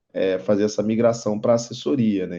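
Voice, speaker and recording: Against a quiet background, a man with a Rio de Janeiro accent talks at a moderate pace in a fairly low, dark and mellow voice with monotone, flat intonation. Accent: carioca (Rio de Janeiro). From Rio de Janeiro, Brazil. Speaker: investment advisor and instructor. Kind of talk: online lecture.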